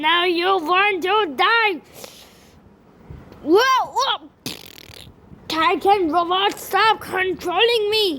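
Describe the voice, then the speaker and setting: A woman puts on a character voice at an extremely high pitch and talks at a very slow pace. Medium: machinima. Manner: shouty, excitable.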